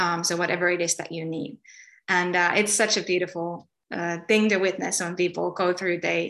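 At a moderate pace, a woman with a Finnish accent speaks in a bright, sharp tone. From Finland. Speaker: spiritual healer. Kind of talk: interview.

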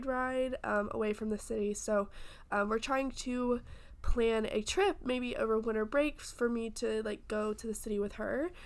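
A woman's fairly high voice with ordinary pitch variation, a plain, everyday voice. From US South. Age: 20s. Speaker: podcast co-host, college student. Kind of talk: casual chat.

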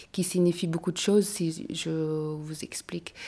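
On a very clean recording with a silent background, a woman speaks in a dark, mellow tone with fairly low pitch and monotone, flat intonation. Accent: Mongolian. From Mongolia. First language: Mongolian (speaking French). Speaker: fashion designer. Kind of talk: interview. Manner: halting.

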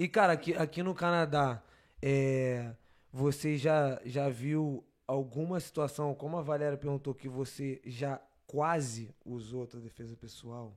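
Speaking fairly slowly in a normal speaking voice, a man with a fairly high pitch shows ordinary pitch variation and big swings in loudness. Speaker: podcast host. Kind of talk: casual chat. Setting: live stream. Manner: casual, slangy.

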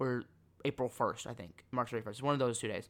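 Against a silent background on a very clean recording, a man delivers his words at a fairly quick pace. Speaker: sports podcast host. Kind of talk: solo sports commentary monologue. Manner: rambling, self-correcting.

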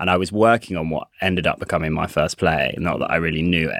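Using fairly even intonation, a man speaks with a very deep, low pitch. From Coventry, England. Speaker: playwright and director. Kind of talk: casual chat.

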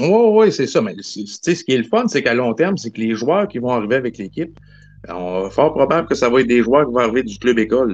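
The pace is fairly quick. The pitch swings very widely. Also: man, medium pitch for a man. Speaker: hockey fan caller. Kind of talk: casual chat.

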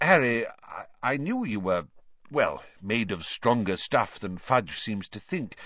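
Using a put-on character voice, a man speaks at a slow pace and fairly low pitch, with big pitch swings and a fairly bright tone.

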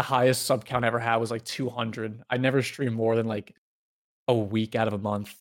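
A man speaks at a moderate pace in a medium pitch, his intonation monotone and flat. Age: 20s. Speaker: retired pro gamer. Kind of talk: casual interview.

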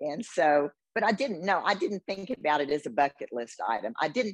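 A woman with an American accent, vocal fry and very wide pitch swings, recorded dry and close with no echo. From Houston, Texas. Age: 70s. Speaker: bodybuilding competitor and retired business owner. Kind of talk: casual interview.

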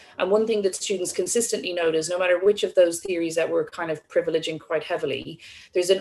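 A woman's fairly low voice in an Irish accent. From Ireland. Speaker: psychology course director and co-host. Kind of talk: interview. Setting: video call.

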